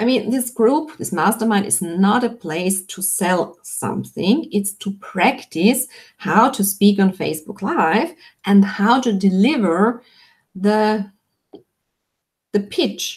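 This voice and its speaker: With a non-native accent, a woman speaks very slowly and somewhat breathily at a medium pitch, with ordinary pitch variation. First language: not English. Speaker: online business coach. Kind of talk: live webinar Q&A. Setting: live video stream.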